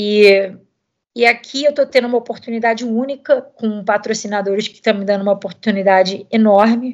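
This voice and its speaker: Against a quiet background, a woman with a normal speaking voice talks at a moderate pace, with a fairly high pitch and ordinary pitch variation. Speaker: professional cyclist. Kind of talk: interview.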